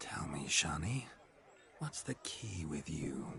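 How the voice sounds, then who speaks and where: A put-on character voice at a fairly slow pace over light background noise. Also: man, very deep, low pitch for a man. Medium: video game. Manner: boastful, theatrical, flowery.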